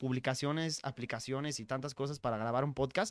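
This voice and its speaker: A man's voice is captured in a very clean recording with a silent background. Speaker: podcaster. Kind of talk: casual interview. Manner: clear.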